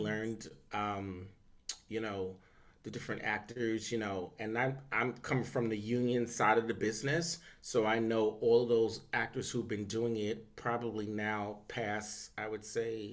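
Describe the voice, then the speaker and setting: With an unremarkable speaking voice, a man talks at a fairly slow pace and medium pitch with fairly even intonation. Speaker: voice acting coach and casting professional. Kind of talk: interview answer.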